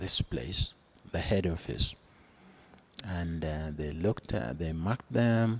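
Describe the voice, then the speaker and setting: A man's voice is very deep and low in pitch and somewhat breathy. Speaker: retired accounts and finance practitioner. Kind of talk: interview answer.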